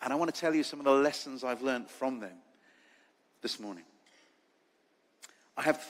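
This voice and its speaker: This man has an English accent and a fairly high pitch. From England. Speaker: charity leader and foster carer. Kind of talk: conference talk.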